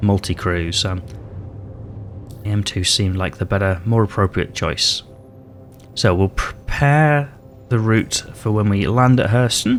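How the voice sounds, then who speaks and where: A man's fairly low voice with a British accent, amid noticeable background noise. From Britain. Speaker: gaming YouTuber. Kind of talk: gameplay commentary. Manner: casual, hesitant with fillers.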